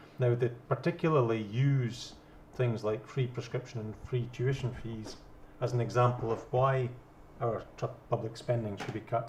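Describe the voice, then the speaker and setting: In a plain, everyday voice, a man talks at a moderate pace with fairly even intonation. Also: medium pitch for a man. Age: 50s. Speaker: debate panelist, yes campaigner. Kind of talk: debate.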